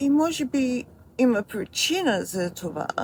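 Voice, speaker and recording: A woman's Australian accent at a fairly slow pace, with very wide pitch swings and noticeable background noise. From Australia, Melbourne. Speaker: video creator. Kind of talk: personal memoir narration.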